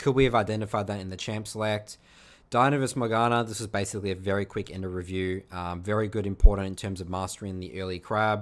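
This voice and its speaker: Talking at a very fast pace, a man with an Australian accent has a fairly low pitch. His loudness swings widely. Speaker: video game coach. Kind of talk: gameplay review commentary. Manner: casual, with frequent fillers.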